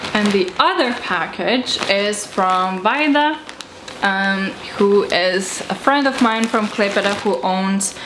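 Noticeable background noise sits beneath a woman speaking at a very slow pace. Her loudness is very even, with ordinary pitch variation. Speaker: vlogger. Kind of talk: casual vlog chat. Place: home room. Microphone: camera far.

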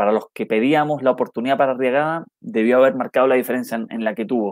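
Against a quiet background, a man talks at a fairly quick pace with ordinary pitch variation and a dry sound with no echo. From Chile. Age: 30s. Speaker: football commentator and YouTuber; football commentator streamer. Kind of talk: live stream match analysis with chat reading. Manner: halting with frequent repetitions; casual and friendly. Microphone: earbuds.

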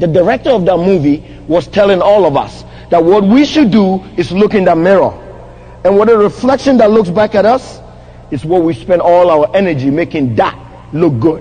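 A man with a Ghanaian accent talks at a moderate pace in a high voice, his tone animated and his intonation lively. His loudness stays very even over noticeable background noise. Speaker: motivational speaker. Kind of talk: motivational speech. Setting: stage with audience at a conference. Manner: animated, engages audience with questions.

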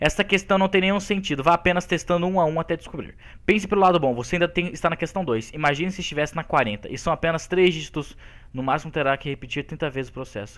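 The man speaks at a very fast pace with a high pitch and ordinary pitch variation. His recording is very clean, with a silent background. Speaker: gaming youtuber. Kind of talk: angry gaming rant. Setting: recorded gameplay commentary. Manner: loud, exasperated, animated.

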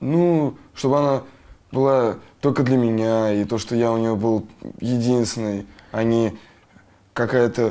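A man with a dark, mellow tone talks at medium pitch with fairly even intonation and very even loudness. His fairly slow pace has long, frequent pauses, on a very clean recording with a silent background. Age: 20s. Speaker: patient. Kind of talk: consultation. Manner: halting.

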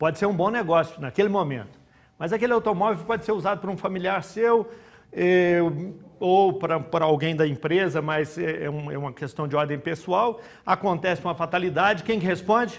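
A man talks in a high voice with ordinary pitch variation. His pace is moderate. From Uberaba, Minas Gerais, Brazil; Minas Gerais, Brazil. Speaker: business consultant; guest. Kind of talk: TV interview. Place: studio. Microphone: lapel.

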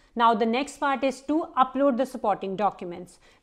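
A woman's plain, everyday voice, fairly high in pitch with ordinary pitch variation, at a moderate pace against a quiet background. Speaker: vlogger and parent. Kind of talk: tutorial.

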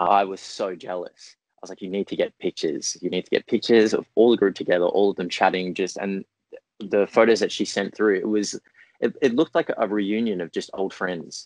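A man with an Australian accent speaks at a fairly low pitch. The sound is dry with no echo against a quiet background. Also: ordinary pitch variation, fairly quick pace. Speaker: actor. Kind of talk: interview. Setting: video call. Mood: cheerful, smiling. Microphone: earbuds.

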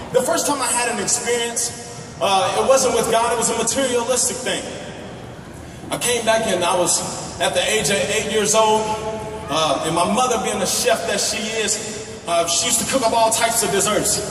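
A man with a high pitch and ordinary pitch variation speaks at a moderate pace amid noticeable background noise and audible room echo. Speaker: guest. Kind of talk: sermon. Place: stage.

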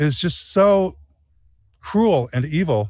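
Somewhat breathy and with very wide pitch swings, a man with a Michigan accent speaks in a dry sound with no echo. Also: quiet background. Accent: Michigan American. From Michigan (Flint area). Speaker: documentary filmmaker; guest. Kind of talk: interview conversation. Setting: outdoors under a tree. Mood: earnest, animated. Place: garden. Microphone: video call.

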